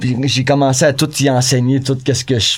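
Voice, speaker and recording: A man with an unremarkable speaking voice, medium in pitch, at a fairly quick pace. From Quebec, North Shore of Montreal. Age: 40s. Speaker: punk rock musician. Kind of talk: casual chat.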